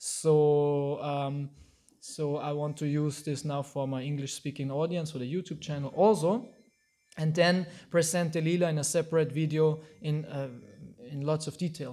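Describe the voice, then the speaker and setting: In an Austrian accent, a man with a fairly high pitch and a dark, mellow tone talks at a moderate pace with fairly even intonation, on a very clean recording with a silent background. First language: German. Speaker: Hare Krishna teacher. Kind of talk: lecture. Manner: halting.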